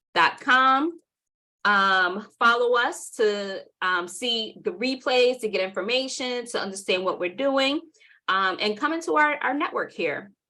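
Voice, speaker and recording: A woman with a New York accent has a bright, sharp tone. She speaks fairly slowly with lively intonation. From New York City (Southside Jamaica, Queens). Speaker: workshop presenter and marketing agency owner. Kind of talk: webinar workshop presentation. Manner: casual, conversational.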